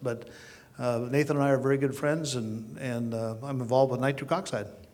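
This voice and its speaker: A man talks fairly quickly in a plain, everyday voice. His pitch is medium. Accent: American. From Oklahoma. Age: 60s. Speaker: chiropractor. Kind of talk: panel introduction.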